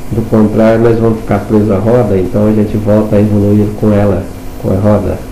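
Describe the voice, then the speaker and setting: Against noticeable background noise and audible room echo, a man with a fairly low pitch talks at a fairly quick pace in a monotone, flat intonation with very even loudness. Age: 60s. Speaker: spiritual instructor. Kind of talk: lecture.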